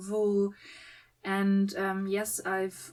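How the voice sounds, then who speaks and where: A very slow, medium-pitched woman's voice. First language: German. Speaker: crochet and knitting vlogger. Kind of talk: hobby tutorial vlog. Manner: hesitant, many fillers.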